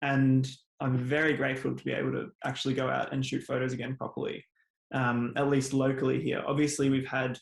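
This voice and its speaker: A man speaks at a fairly quick pace with a monotone, flat intonation. His voice is medium in pitch and somewhat breathy. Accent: Australian. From Australia (Melbourne, Victoria). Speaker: landscape photographer. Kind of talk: interview.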